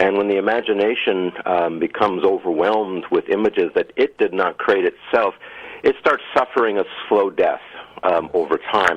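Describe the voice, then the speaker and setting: A man speaks at a moderate pace. His loudness stays very even. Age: 60s. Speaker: filmmaker and author. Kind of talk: interview. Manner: halting, many fillers.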